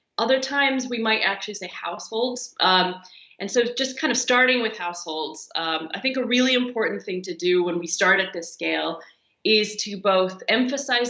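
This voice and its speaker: Speaking in a normal speaking voice with an American accent, a woman moves at a fairly quick pace with ordinary pitch variation. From US, Pennsylvania. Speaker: geography professor. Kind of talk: interview.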